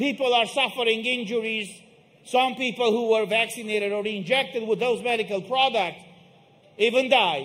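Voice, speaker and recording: An extremely high-pitched man's voice with a Romanian accent. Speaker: protest speaker. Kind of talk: rally speech. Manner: emphatic.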